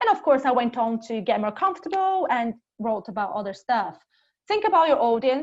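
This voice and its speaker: A woman with a Portuguese accent talks at a fairly quick pace. Her high voice moves in very wide pitch swings. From Brazil. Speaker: corporate speaker on LinkedIn and careers. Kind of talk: presentation talk. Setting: online webinar session.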